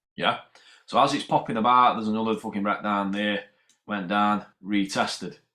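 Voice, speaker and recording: In a Yorkshire accent, a man speaks at a moderate pace with a fairly low pitch and a bright, sharp tone. The recording is very clean, with a silent background. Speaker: amateur crypto trader. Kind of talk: casual explanation of trading charts. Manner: casual, sweary.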